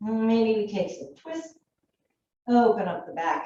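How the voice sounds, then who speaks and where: With audible room echo, a woman speaks fairly slowly in a calm, soothing tone, her somewhat breathy voice fairly high in pitch and dark and mellow. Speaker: yoga teacher. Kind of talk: guided yoga class.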